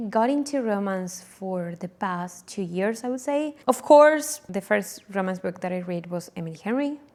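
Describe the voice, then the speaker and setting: A woman speaks in an Argentine accent. Her pitch is medium. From Argentina, Buenos Aires. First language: Spanish. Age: 20s. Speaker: book vlogger. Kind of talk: casual vlog intro. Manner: casual, with fillers and self-corrections.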